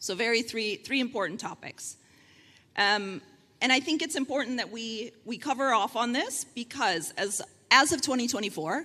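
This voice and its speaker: Bright and sharp in tone, a woman with an American accent speaks at a high pitch and moderate pace with lively intonation. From United States. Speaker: panel moderator and consultant. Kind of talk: panel moderation at conference.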